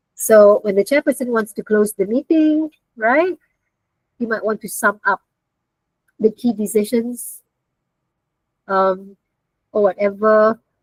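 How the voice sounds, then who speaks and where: A woman at a fairly slow pace, with long, frequent pauses, ordinary pitch variation, and a dry, close sound with no echo. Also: fairly high pitch for a woman. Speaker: university lecturer. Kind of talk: online lecture. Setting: video call.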